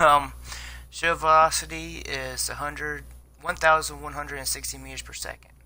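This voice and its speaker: Loudness rises and falls in big swings. The man keeps a moderate pace. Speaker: gaming video creator. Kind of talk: game review tutorial. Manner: halting.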